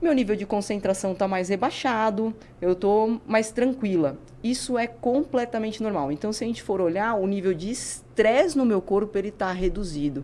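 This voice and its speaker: Her tone is dark and mellow, with lively intonation. The woman's pitch is fairly high. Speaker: neuroscientist and physical educator. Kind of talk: podcast interview. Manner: fast.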